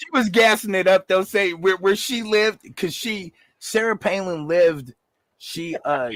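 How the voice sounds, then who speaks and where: The recording is very clean, with a silent background and a dry, close sound with no echo. A man speaks at a moderate pace in a high pitch with lively intonation. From Alaska, Anchorage. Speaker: battle rap commentator. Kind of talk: casual chat. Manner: animated.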